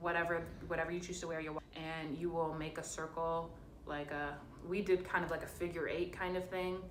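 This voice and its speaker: A woman speaks with a fairly low pitch and fairly even intonation. Room echo is audible in the recording. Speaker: college student vlogger. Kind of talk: casual vlog advice. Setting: hotel room.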